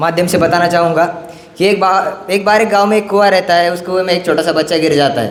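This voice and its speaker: With audible room echo and noticeable background noise, a man talks at a moderate pace in a high pitch, his intonation fairly even. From Marathwada, Maharashtra, India. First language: Marathi (speaking Hindi). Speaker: student activist speaker. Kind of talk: conference speech. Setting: stage at a youth conference. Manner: halting, many fillers and restarts.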